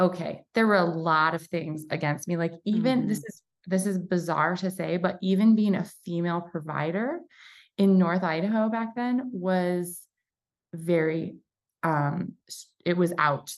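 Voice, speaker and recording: The speaker goes at a fairly slow pace with ordinary pitch variation while music plays in the background. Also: woman, fairly low pitch for a woman. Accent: American. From Michigan. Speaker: chiropractor and coach. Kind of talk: casual interview chat.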